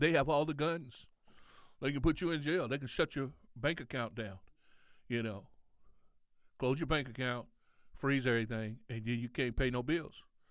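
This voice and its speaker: Speaking at a moderate pace with ordinary pitch variation, the speaker leaves long, frequent pauses. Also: man. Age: 60s. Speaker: rapper and podcaster. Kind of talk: rant. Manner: halting, many fillers; casual.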